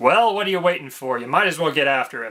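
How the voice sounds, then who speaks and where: Using a put-on character voice, a man talks very fast with lively intonation at a fairly high pitch. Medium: read story.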